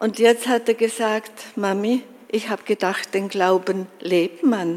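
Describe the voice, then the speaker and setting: Fairly even intonation marks this woman's delivery. She speaks at a very slow pace. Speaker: conference attendee, grandmother. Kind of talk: personal testimony.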